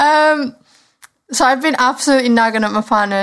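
On a very clean recording with a silent background, a woman talks at a fairly quick pace. She speaks with a Cumbrian accent. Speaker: podcast co-host. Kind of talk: casual chat.

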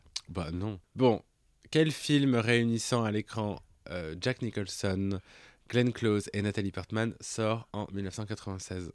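Fairly low in pitch with ordinary variation, a man speaks at a very slow pace with long, frequent pauses. The recording is very clean, with a silent background. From France, Auvergne. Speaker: podcast co-host, drag performer. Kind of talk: casual chat.

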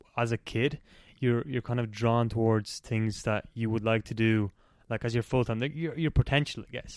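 A man at a very fast pace with ordinary pitch variation, dry and close with no echo, over a quiet background. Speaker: podcast host. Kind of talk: casual interview.

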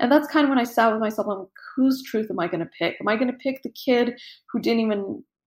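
Lively intonation marks this woman's speech with an American accent. The recording is very clean, with a silent background. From Russia, Armenian family, then California. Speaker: photographer. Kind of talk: interview conversation. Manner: halting with repeated words.

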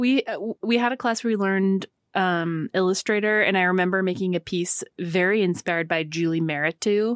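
A woman with an American accent speaks fairly quickly at a medium pitch with ordinary pitch variation, an unremarkable speaking voice in a dry, close sound with no echo. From North Carolina, US South. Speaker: creative director, designer. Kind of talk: casual chat. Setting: studio.

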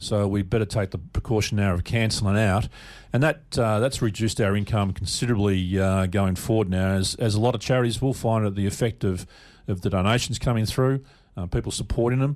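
On a very clean recording with a silent background, a man with an Australian accent talks at a fairly quick pace and very even loudness. His pitch is fairly low, with ordinary variation. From Melbourne, Australia. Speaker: charity founder, bereaved father. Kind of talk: radio interview.

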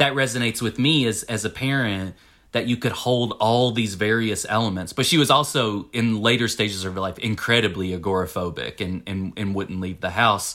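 With a Tennessee accent, a man speaks in a bright, sharp tone at a fairly low pitch, hardly pausing, on a very clean recording with a silent background. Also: ordinary pitch variation, fairly quick pace. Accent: Southern US (Tennessee). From US South, Winchester, Tennessee. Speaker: author. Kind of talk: casual chat. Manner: halting, many fillers.

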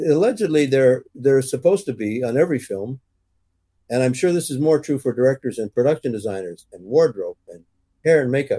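A man with a Canadian accent speaks at a fairly quick pace in a medium pitch, his dark, mellow tone carrying lively intonation and big swings in loudness, recorded with a dry, close sound with no echo. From English Canada. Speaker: cinematographer. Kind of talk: interview, career anecdotes.

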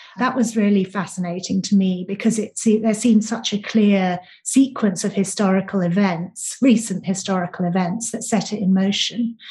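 A woman speaks with a British accent at a medium pitch. Her intonation is fairly even and her pace moderate. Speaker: author. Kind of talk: interview.

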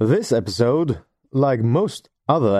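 With a Norwegian accent, a man speaks at a medium pitch and a fairly slow pace, his dark, mellow tone carrying lively intonation in a dry, close recording with no echo and a quiet background. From Norway. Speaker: podcast host. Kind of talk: scripted narration.

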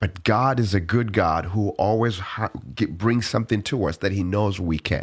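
A man with a fairly low pitch speaks at a moderate pace, somewhat breathy and very even in loudness. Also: ordinary pitch variation. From Uganda. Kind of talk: interview.

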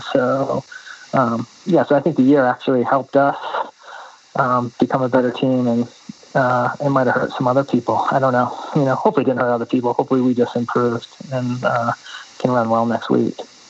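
Speaking fairly quickly in a medium pitch, a man keeps a monotone, flat intonation and very even loudness over noticeable background noise. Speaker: running coach. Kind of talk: interview conversation.

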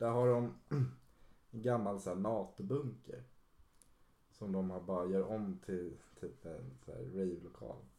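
A man with a fairly low pitch and a dark, mellow tone speaks at a fairly slow pace with lively intonation and long, frequent pauses. Audible room echo surrounds the voice. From Stockholm, Sweden (Solna). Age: 20s. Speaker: DJ and music producer. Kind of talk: casual chat.

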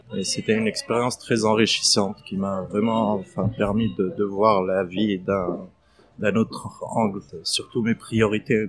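A man speaks fairly slowly in a fairly low voice with fairly even intonation. Noticeable background noise runs under him. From Palestine, Middle East. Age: 30s. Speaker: restaurant entrepreneur. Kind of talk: interview testimony. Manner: hesitant, many fillers.

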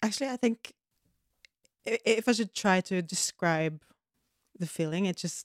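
A Norwegian accent with ordinary pitch variation, dry and close with no echo, on a very clean recording against a silent background. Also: woman. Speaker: podcast co-host. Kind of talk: casual chat.

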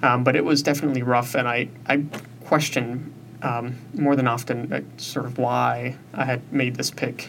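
With noticeable background noise, a man with an American accent talks at a moderate pace at medium pitch, his intonation fairly even. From US Southwest, South Tucson, Arizona. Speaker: recent college graduate. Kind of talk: interview conversation.

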